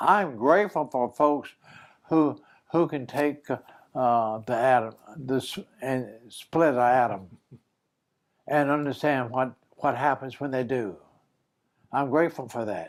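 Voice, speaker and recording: With a South Carolina accent, a man at a medium pitch speaks at a fairly slow pace with ordinary pitch variation and long, frequent pauses, on a very clean recording with a silent background. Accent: Southern US (South Carolina). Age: 90s. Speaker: war veteran. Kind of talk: interview. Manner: halting.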